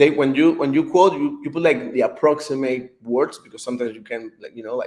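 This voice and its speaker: A man talks at a fairly quick pace with big swings in loudness. His pitch is fairly high and varies in an ordinary way. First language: not English. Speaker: author. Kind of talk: interview. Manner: halting, many fillers.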